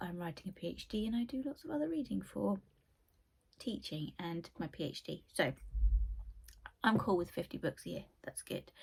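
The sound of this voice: Putting on a croaky character voice, a woman speaks fairly low at a moderate pace with long, frequent pauses.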